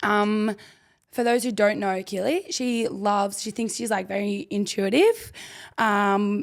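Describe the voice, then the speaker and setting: Over a silent background in a very clean recording, a woman with a medium-pitched voice talks at a fairly slow pace in an animated tone. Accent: Australian. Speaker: rugby league player and podcast co-host. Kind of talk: casual chat.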